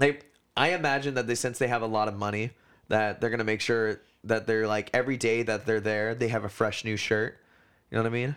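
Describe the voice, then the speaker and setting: This man has an ordinary speaking voice with medium pitch and fairly even intonation, moving at a fairly quick pace. The recording is very clean, with a silent background. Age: 20s. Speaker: podcast co-host. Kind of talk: casual chat.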